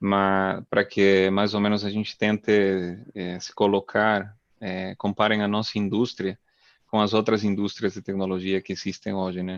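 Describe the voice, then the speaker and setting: A man with a non-native accent speaks at a fairly slow pace in a fairly low pitch and monotone, flat intonation, the sound dry and close with no echo over a quiet background. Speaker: oil and gas drilling engineer. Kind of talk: webinar talk. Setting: live video webinar. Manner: hesitant, many fillers.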